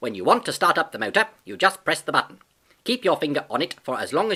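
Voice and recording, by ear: The passage is read aloud in a natural voice.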